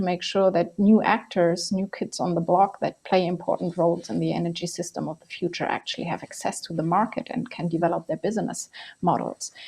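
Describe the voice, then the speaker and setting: The speaker moves at a fairly quick pace with fairly even intonation and hardly any pauses. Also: woman. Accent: non-native. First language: not English. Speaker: energy policy expert. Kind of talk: panel discussion.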